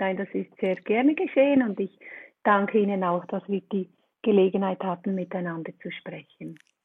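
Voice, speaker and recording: With a Swiss accent, a woman talks at a moderate pace in a medium pitch with ordinary pitch variation. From Switzerland. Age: 50s. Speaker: relaxation coach, trained nurse. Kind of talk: interview podcast.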